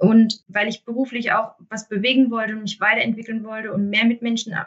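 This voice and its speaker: A somewhat breathy female voice at a moderate pace. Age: 30s. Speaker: municipal health manager. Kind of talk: interview. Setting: remote recording.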